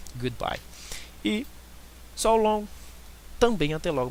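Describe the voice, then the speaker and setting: The man talks at a moderate pace. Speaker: online English tutor. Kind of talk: language lesson.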